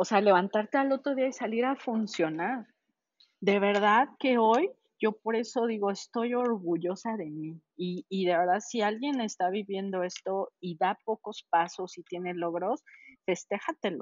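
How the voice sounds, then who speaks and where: Using a normal speaking voice at a medium pitch, a woman talks at a fairly slow pace with ordinary pitch variation. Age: 40s. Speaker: customs trade consultant. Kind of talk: interview.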